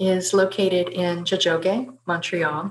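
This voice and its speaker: Light background noise runs beneath a woman talking at a moderate pace. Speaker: webinar host. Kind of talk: formal event introduction. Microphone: webcam.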